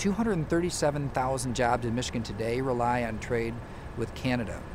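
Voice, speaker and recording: A man at a fairly slow pace, dry sound with no echo, and noticeable background noise behind him. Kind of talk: political statement to camera. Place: waterside.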